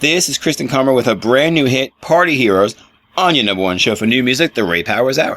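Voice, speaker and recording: A man of medium pitch speaks at a fairly quick pace. His pitch swings very widely. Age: 40s. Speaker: radio host. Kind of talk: interview; radio show link.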